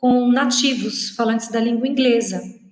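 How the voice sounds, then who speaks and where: A woman with a high pitch and monotone, flat intonation, in audible room echo. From Brazil. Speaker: university professor. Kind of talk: lecture.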